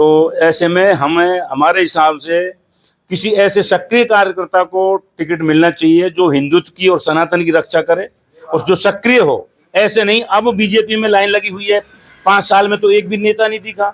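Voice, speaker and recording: Here a man speaks at a high pitch with ordinary variation. The sound is dry and close, without echo. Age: 60s. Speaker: local BJP supporter. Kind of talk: street interview.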